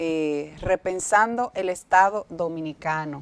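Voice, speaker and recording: The woman's voice is fairly low in pitch and shows ordinary pitch variation. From Dominican Republic. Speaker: TV show host. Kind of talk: TV interview. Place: studio. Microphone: lapel.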